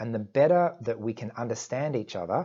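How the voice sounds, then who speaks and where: Using lively intonation, a man at medium pitch has an unremarkable speaking voice. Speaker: YouTuber discussing Asperger's syndrome. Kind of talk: casual vlog monologue.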